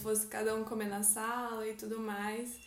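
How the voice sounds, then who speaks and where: A woman's fairly high voice at a fairly slow pace with fairly even intonation, amid noticeable background noise and audible room echo. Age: 20s. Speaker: artist. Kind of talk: casual faith conversation.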